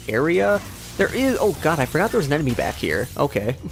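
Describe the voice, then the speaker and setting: Music plays behind a man who talks fairly quickly. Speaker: let's play gamer. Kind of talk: gameplay commentary. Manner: fast; animated.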